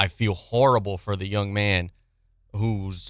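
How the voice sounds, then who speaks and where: In a very clean recording with a silent background, a man with an American accent uses a plain, everyday voice at a fairly low pitch and with fairly even intonation. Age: 30s. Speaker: sports radio host. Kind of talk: sports talk radio.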